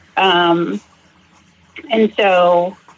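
A woman with an American accent at a medium pitch, with ordinary pitch variation and noticeable background noise. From Massachusetts. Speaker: recovering alcoholic, nursing student. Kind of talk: personal testimony interview.

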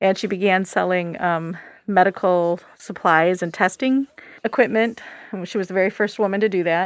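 With an American accent, a woman at medium pitch speaks in an ordinary speaking voice, using fairly even intonation at a moderate pace. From Michigan, USA. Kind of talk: casual interview.

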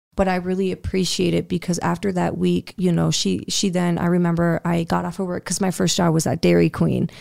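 In an American accent, a woman speaks at a fairly quick pace with hardly any pauses. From US Midwest, South Dakota. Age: 20s. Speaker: entrepreneur and podcaster. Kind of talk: interview, personal story.

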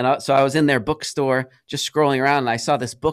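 A normal speaking voice at a fairly quick pace, in a very clean recording with a silent background and a dry, close sound with no echo. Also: man. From US Northeast, Rhode Island. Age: 40s. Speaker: music school owner. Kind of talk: podcast interview. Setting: studio. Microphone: studio dynamic mic, good quality.

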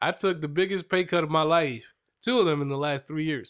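A man with an American accent speaks at a fairly high pitch and a fairly quick pace. His intonation is lively, and the recording is very clean with a silent background. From Reading, Pennsylvania, US. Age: 30s. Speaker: podcast host. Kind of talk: casual chat, interview over wine. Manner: joking, teasing, animated.

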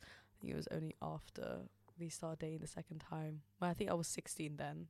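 A woman with a London accent speaks at a very fast pace. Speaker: university student. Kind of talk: casual chat.

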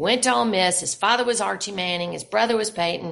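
A woman at medium pitch with vocal fry, in a Southern US accent. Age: 60s. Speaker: novelist. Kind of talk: interview.

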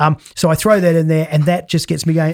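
The recording is very clean and the background silent. The voice carries an Australian accent. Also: man. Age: 50s. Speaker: performance coach. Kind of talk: casual chat.

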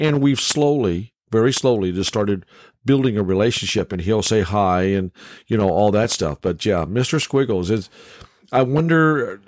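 A man with a fairly low pitch talks at a moderate pace with lively intonation, an unremarkable speaking voice. The recording is very clean, its background silent. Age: 60s. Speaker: podcast host. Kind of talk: casual chat. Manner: jokey, folksy.

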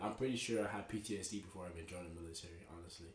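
A somewhat breathy man with an American accent, with audible room echo. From Texas (Dallas, Oak Cliff) and Tulsa, Oklahoma. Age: 20s. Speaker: army veteran. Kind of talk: casual chat.

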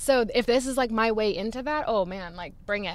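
In a plain, everyday voice, a woman talks at a fairly quick pace with ordinary pitch variation. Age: 30s. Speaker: author. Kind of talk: casual interview. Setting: in a parked car.

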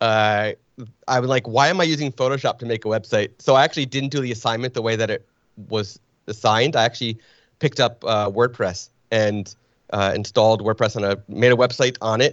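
With an American accent, a man speaks fairly quickly in an ordinary speaking voice at medium pitch with ordinary pitch variation. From northern New Jersey, Springfield. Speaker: photographer. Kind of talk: casual interview.

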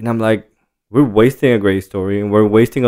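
At a fairly quick pace, a man speaks with a Spanish accent and fairly even intonation. His pitch is fairly low. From Jalisco, Mexico. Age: 30s. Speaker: tequila brand co-founder. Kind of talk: casual interview. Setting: in person.

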